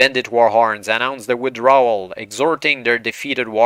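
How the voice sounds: Fairly even intonation in a natural reading voice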